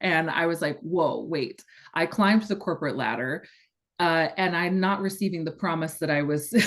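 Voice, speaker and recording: With an American accent, a woman speaks in a fairly low voice with ordinary pitch variation against a quiet background. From Northern California, US. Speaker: astrology and human design coach. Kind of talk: podcast interview.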